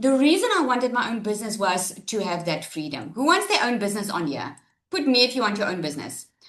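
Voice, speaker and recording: Loud and very fast, a woman speaks at a fairly high pitch with very wide pitch swings. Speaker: online business coach. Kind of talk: webinar presentation. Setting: live webinar, screen sharing. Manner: animated.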